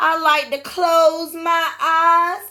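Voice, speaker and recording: A woman puts on a character voice pitched extremely high. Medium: read story. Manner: gentle, courteous.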